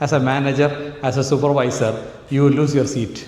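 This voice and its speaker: A man speaks in a Keralan accent at a fairly high pitch. Audible room echo surrounds his voice. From Kerala, India. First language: Malayalam. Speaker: AI trainer. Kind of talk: training seminar talk. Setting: hall with live audience.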